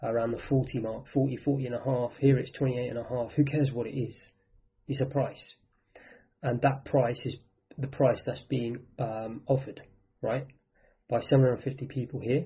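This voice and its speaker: A man talks at a moderate pace in a somewhat breathy, monotone, flat delivery broken by long, frequent pauses. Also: medium pitch for a man. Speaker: trading instructor. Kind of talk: tutorial.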